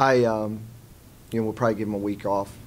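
A man with an American accent talks at a very fast pace in a fairly low pitch. Light background noise sits behind him. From US South. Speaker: college basketball head coach. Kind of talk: post-game press conference. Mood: subdued after a loss. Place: meeting room. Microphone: podium.

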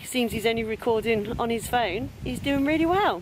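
A woman talks at a moderate pace with lively intonation, in a dry sound with no echo and light background noise. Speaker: urban explorer vlogger. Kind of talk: casual vlog chat. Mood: cheerful, smiling. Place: forest. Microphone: phone near.

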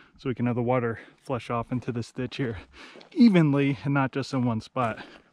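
A man speaking at a fairly quick pace with ordinary pitch variation, in a dry sound with no echo. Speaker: homeowner vlogger. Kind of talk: casual vlog chat. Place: forest.

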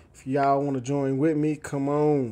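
A man talks at a fairly slow pace in a fairly high pitch. His tone is dark and mellow. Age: 40s. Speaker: fitness vlogger. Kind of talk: casual vlog monologue.

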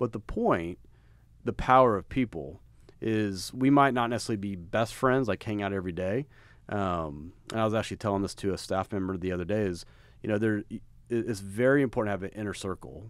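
A man with an American accent speaks fairly quickly at a fairly low pitch with ordinary pitch variation. The background is quiet and the sound is dry with no echo. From Texas. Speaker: podcast host and apparel brand co-founder; podcast host. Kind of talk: casual chat. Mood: warm, complimentary. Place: meeting room. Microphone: studio mic.

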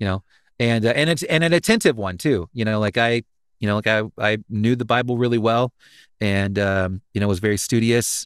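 A man speaks at a moderate pace in a medium pitch, with a dry, echo-free sound over a quiet background. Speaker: voice actor, pastor, musician. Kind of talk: interview answer. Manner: casual, hesitant, many fillers. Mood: reflective, candid. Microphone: studio mic.

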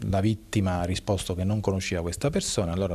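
A man speaks with a very deep, low pitch, a dark, mellow tone and fairly even intonation. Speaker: police officer. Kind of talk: interview. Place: office. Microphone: handheld.

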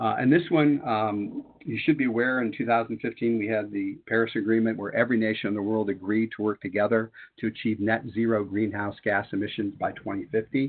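A man with a plain, everyday voice speaks at a moderate pace and medium pitch. His pitch varies in an ordinary way, and he hardly pauses. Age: 60s. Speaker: retired math teacher and webinar presenter. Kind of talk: webinar presentation. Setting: online webinar.

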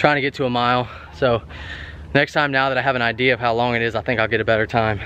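A man speaks at a fairly quick pace with fairly even intonation. The sound is dry, with no echo. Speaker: fitness vlogger. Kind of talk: casual vlog chat.

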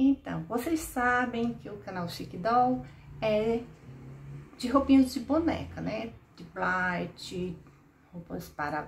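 A woman at a very slow pace, with long, frequent pauses, very wide pitch swings and big swings in loudness, over light background noise. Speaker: doll clothes channel host. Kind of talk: casual vlog chat. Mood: warm, friendly. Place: home room.

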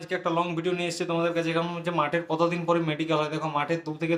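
The speaker is a man. His pitch is fairly high. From West Bengal, Jhargram. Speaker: YouTuber answering exam aspirants' questions. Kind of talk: casual Q&A monologue.

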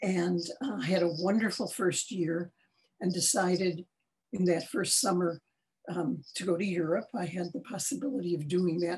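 A woman's fairly low, somewhat breathy voice at a moderate pace. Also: ordinary pitch variation. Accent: American. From Chicago, US Midwest. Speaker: artist and art educator; art educator. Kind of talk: interview. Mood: warm, reflective. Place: home room. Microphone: video call.

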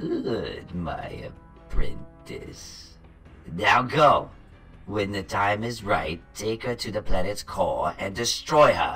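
A man talks very slowly while clear music sounds behind him. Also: medium pitch for a man. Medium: machinima. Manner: imperious, menacing, scornful.

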